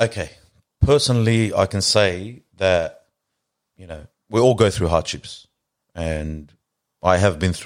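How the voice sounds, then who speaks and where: On a very clean recording with a silent background, a man with an Australian accent and a very deep, low pitch speaks at a fairly slow pace, with ordinary pitch variation, big swings in loudness, and long, frequent pauses. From Australia and Lebanon. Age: 30s. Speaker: car preparation worker and community reciter. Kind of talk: casual interview. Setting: studio.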